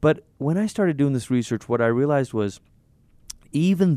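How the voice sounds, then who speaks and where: At a moderate pace, a man speaks in a dark, mellow tone with lively intonation. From Malaysia. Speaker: pastor and author. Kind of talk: interview.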